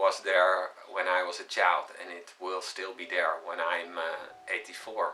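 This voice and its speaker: A man speaks at a fairly slow pace, his loudness swinging widely. Noticeable background noise runs underneath. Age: 50s. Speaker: spiritual teacher. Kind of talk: spiritual talk. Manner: halting, many filler sounds; calm, reflective.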